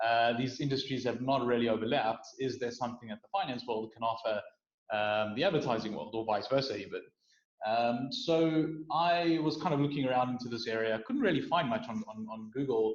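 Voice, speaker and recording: A man talks at a fairly quick pace in a South African accent. His pitch is medium, with ordinary variation. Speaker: startup founder. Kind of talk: interview.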